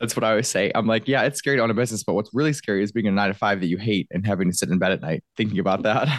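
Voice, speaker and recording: With a Michigan accent, a man speaks at a very fast pace with hardly any pauses and very even loudness. His pitch is fairly low with ordinary variation, in a dry, close sound with no echo. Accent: Michigan American, nasal. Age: 20s. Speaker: podcast host. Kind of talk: casual interview chat.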